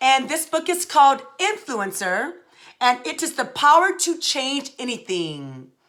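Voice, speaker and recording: A woman speaks at a fairly slow pace in a raised, projected voice, high-pitched with a bright, sharp tone, an animated tone and lively intonation. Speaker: leadership speaker. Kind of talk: motivational talk. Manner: loud.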